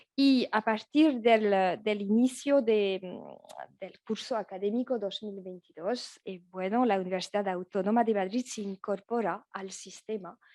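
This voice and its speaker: With a French accent, a woman speaks at a fairly slow pace with hardly any pauses, her medium-pitched voice dark and mellow in tone, ordinary in pitch variation and swinging widely in loudness, in a dry, close sound with no echo. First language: French (speaking Spanish). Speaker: law professor. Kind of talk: academic conference talk. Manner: halting, many fillers and restarts.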